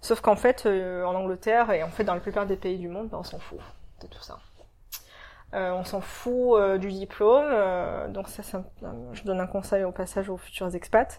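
At a moderate pace and a medium pitch, a woman speaks with fairly even intonation, long, frequent pauses and big swings in loudness. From France, Marseille. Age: 30s. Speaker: expatriate. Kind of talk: interview. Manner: frequent hesitations.

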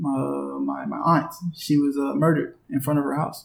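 A man with an American accent speaks in a fairly high pitch. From North Carolina, US. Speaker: professional basketball player. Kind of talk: interview.

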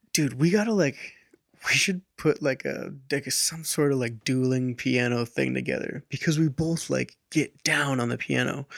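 An ordinary speaking voice with an American accent moves at a moderate pace with ordinary pitch variation and a dry, close sound with no echo. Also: man, medium pitch for a man. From US Pacific Northwest. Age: 20s. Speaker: electronic music producer. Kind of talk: casual interview chat. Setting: studio.

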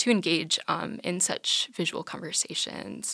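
A woman's fairly low voice with vocal fry. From North Dakota. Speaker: art history student. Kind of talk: interview.

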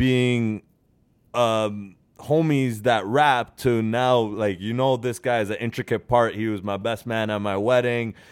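Recorded very cleanly against a silent background, a man talks in an unremarkable speaking voice at medium pitch. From Norway, then Canada. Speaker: podcast host. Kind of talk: casual chat. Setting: studio.

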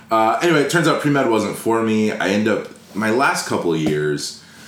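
A Californian accent at a moderate pace, with audible room echo and noticeable background noise. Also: man. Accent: Californian American. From Los Angeles. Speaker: entrepreneur. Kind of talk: casual chat.

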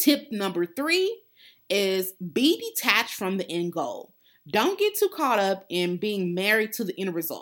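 Fairly slow and lively in intonation, a woman speaks at a medium pitch in a plain, everyday voice. The recording is very clean, with a silent background. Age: 30s. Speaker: podcast host and life coach. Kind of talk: solo motivational talk.

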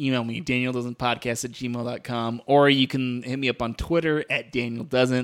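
A man at a moderate pace and medium pitch, an ordinary speaking voice, on a very clean recording with a silent background. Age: 30s. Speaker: podcast host. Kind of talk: casual chat.

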